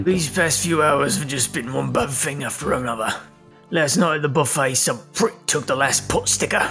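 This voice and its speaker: A put-on character voice sits at a low-to-middle pitch and moves at a moderate pace. Clear music plays in the background. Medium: game stream. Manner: boisterous, rough, chummy.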